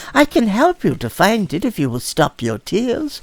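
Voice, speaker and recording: A put-on character voice comes through at a fairly high pitch. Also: moderate pace. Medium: read story. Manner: gentle, soft-spoken.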